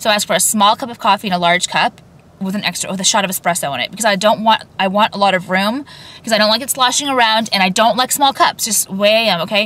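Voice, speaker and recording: The speech runs at a very fast pace with ordinary pitch variation. The sound is dry, with no echo. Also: woman, medium pitch for a woman. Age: 30s. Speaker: lifestyle vlogger. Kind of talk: casual rant to camera. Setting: in a car. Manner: rambling, filler-heavy. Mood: chatty, candid rant. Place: car. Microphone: phone near.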